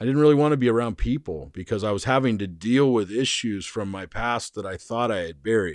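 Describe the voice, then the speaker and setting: A man with an American accent uses an ordinary speaking voice at a medium pitch, with ordinary pitch variation and a quiet background. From Arizona. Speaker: podcast host. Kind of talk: casual chat.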